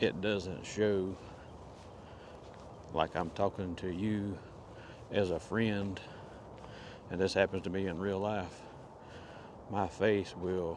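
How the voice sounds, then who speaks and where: Quiet and very slow, a man with a Southern US accent speaks in a very deep, low pitch, his intonation monotone and flat, with long, frequent pauses. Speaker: vlogger. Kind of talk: casual vlog monologue. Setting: outdoors in the woods. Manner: quiet, hushed.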